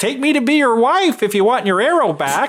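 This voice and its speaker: A put-on character voice at a fairly high pitch moves at a moderate pace with very wide pitch swings. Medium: read story. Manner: calm, reassuring.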